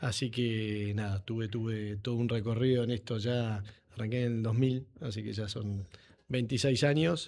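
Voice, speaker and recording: A man with an unremarkable speaking voice talks at a fairly slow pace and a medium pitch. His intonation is fairly even, and the recording is very clean with a silent background. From Buenos Aires, Argentina (San Isidro). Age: 40s. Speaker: agronomist, company CEO. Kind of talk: podcast interview.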